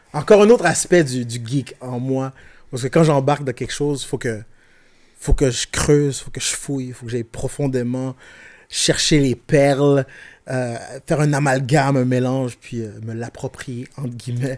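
A man with a Quebec accent speaks at a moderate pace and fairly even intonation, with big swings in loudness. The background is quiet. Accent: Québécois French. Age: 40s. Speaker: rapper and IT technician; podcast guest. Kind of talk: casual chat. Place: studio. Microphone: studio mic.

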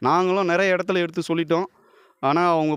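This man speaks with a high pitch. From Tamil Nadu, Kanchipuram area. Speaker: village protester. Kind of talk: street interview.

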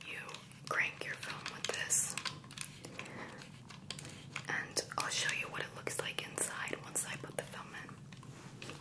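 A soft-spoken woman whispers very slowly, leaving long, frequent pauses. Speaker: camera reviewer. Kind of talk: casual show-and-tell tutorial. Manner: soft close ASMR whisper. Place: home room.

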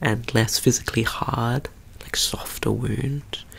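A man whispering. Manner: soft-spoken ASMR doctor voice. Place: home room.

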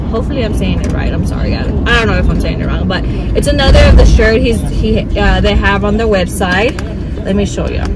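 A woman talks at a very fast pace. Loud background noise fills the recording. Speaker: mother vlogger. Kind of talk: casual vlog chat. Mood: cheerful and chatty. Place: car. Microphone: phone near.

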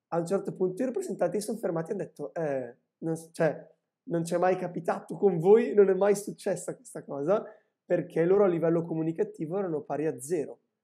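A man with a high pitch and a dark, mellow tone talks at a fairly quick pace over a quiet background. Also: ordinary pitch variation. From northern Italy, Lumezzane (Brescia); Italy. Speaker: industrial designer and teacher; teacher. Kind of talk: casual chat. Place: home room. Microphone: video call.

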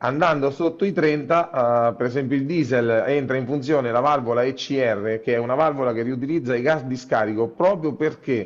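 Speaking at a moderate pace with ordinary pitch variation, a man is heard over a quiet background. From Italy, Macerata (Marche); Marche, Italy. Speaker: local politician. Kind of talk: interview. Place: office. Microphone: earbuds.

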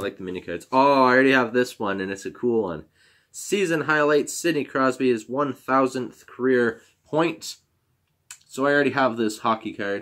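A man talks at a moderate pace with a medium pitch and ordinary pitch variation. The background is quiet. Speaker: YouTuber opening hockey card packs. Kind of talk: casual card-opening video. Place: home room. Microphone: webcam.

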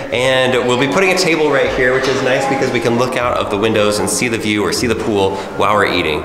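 This man speaks fairly quickly with ordinary pitch variation, while audible room echo and noticeable background noise surround him. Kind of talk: casual vlog chat. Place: home room. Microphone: phone near.

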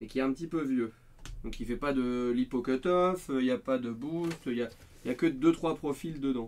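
This man talks at a moderate pace in a medium pitch. He has a plain, everyday voice with ordinary pitch variation. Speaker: RC car hobbyist. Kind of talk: casual livestream chat.

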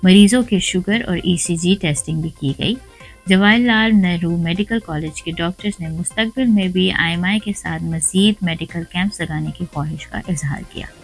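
Faint music plays in the background. The speech moves at a fairly slow pace with ordinary pitch variation. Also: woman, fairly low pitch for a woman. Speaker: news anchor. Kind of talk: news reading. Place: studio.

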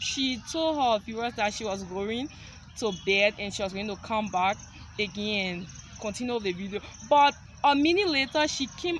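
A woman at a moderate pace, dry sound with no echo, light background noise. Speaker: vlogger. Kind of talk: casual vlog chat. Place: open country. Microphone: phone near.

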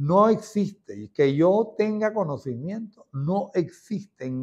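Over a quiet background, a man speaks with very wide pitch swings. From Venezuela, Santa Rosa, Barquisimeto (Lara); Lara, Venezuela. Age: 60s. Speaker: former president of a religious devotional society. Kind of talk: testimony. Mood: warm, devout, reminiscing. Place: home room. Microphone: lapel.

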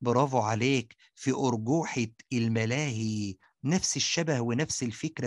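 A man's medium-pitched voice with an Egyptian accent, ordinary pitch variation and a fairly slow pace, over a quiet background. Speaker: science teacher. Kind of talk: tutorial. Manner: animated.

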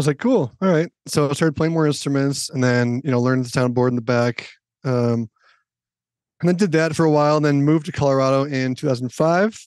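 Fairly high pitch and ordinary pitch variation in a man's unremarkable speaking voice. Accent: American. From Minnesota, US (Minneapolis). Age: 30s. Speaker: church technical director and lighting designer. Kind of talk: casual interview. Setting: podcast recording.

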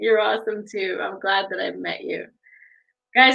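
Over a quiet background, a woman speaks at a medium pitch with ordinary pitch variation. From Sault Ste. Marie area, Ontario, Canada. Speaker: online show host. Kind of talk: casual interview chat. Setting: video livestream. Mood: warm, friendly, smiling. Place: home room. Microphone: webcam.

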